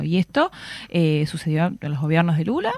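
A normal speaking voice at a moderate pace with lively intonation. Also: woman. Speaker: political analyst and university lecturer. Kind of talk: radio interview.

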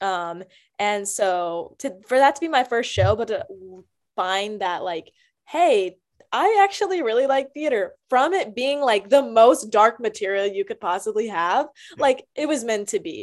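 A woman with a fairly high pitch speaks at a fairly slow pace in an animated tone, her pitch swinging very widely, on a very clean recording with a silent background. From US South, Greensboro, North Carolina. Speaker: actress. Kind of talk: casual interview.

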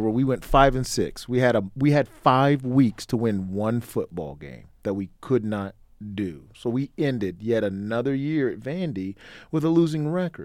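With a plain, everyday voice, a man of medium pitch speaks at a moderate pace using lively intonation. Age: 30s. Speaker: podcast host, former college football player. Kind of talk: casual interview. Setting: in person, Las Vegas.

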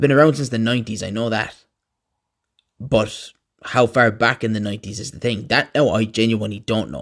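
Speaking with an Irish accent at a fairly quick pace, this voice keeps a fairly even intonation but has big swings in loudness, on a very clean recording with a silent background. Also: man, medium pitch for a man. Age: 30s. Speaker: podcast host. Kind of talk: casual monologue.

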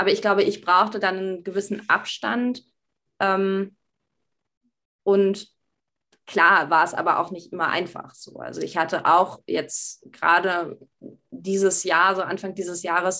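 A woman's bright, sharp voice at medium pitch, fairly slow in pace, with long, frequent pauses. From Berlin, Germany. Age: 20s. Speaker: university student. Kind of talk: casual interview.

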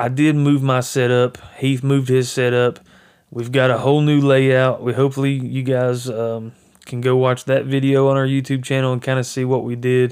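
A man's moderately paced, monotone, flat delivery in a Southern US accent, on a very clean recording with a silent background. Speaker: hunting podcaster. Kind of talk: casual monologue. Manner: rambling with fillers. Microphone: new microphone.

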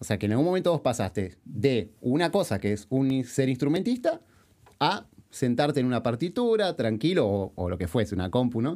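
A man speaks at a medium pitch with an Argentine accent. His pace is moderate and his pitch swings very wide. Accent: Rioplatense Argentine Spanish. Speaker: podcast host and musician. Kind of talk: interview.

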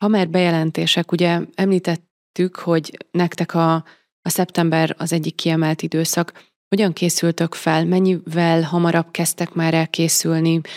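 Monotone and flat, a woman with a fairly low pitch speaks at a very even loudness in a very clean recording with a silent background and a dry, close sound with no echo. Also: moderate pace. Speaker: podcast host. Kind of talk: interview.

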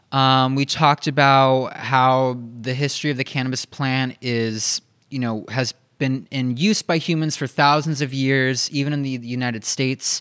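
At a moderate pace, a man with an ordinary speaking voice talks at a medium pitch with fairly even intonation in a very clean recording with a silent background. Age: 20s. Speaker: podcast co-host, hemp company operations manager. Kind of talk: casual chat. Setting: office.

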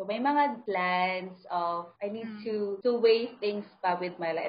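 With a Filipino accent, a woman speaks at medium pitch with ordinary pitch variation. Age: 20s. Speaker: podcast host. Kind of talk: casual chat.

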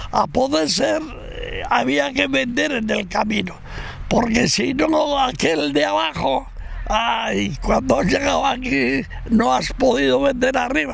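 A man speaks very slowly in a high voice, his pitch swinging very widely while his loudness stays very even. The recording has noticeable background noise and audible room echo. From Navarre, Spain (Burgui, Roncal valley). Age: 80s+. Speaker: retired log raftsman. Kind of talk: oral history testimony. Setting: outdoors by the river.

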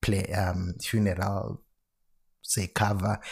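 In a very clean recording with a silent background, a man speaks with a South African accent. His voice is somewhat breathy, with a fairly low pitch and fairly even intonation. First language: Xhosa. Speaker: financial planner. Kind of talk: solo podcast explainer. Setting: alone at home at night.

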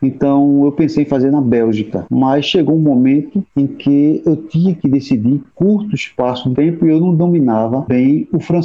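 A man speaks at a moderate pace with hardly any pauses and ordinary pitch variation. His loudness stays very even. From Recife, Pernambuco, Brazil. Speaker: university music professor. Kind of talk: interview. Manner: halting.

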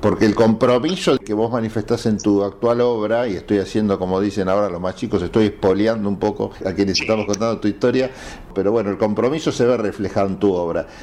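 A man with a fairly low voice talks very fast with fairly even intonation over noticeable background noise. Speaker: radio host. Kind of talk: interview.

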